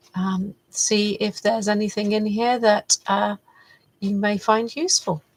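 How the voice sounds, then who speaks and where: A somewhat breathy woman's voice at a medium pitch, fairly slow and fairly even in intonation, with a dry, close sound and no echo. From UK, partly raised in Canada. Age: 60s. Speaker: faith-based personal development vlogger. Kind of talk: reflective monologue. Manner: hesitant, many fillers.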